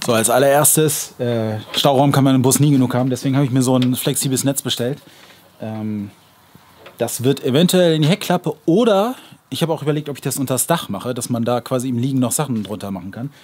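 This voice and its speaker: His delivery is very fast. The man's pitch rises and falls in an ordinary way. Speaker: camping vlogger. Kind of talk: casual vlog product review. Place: street.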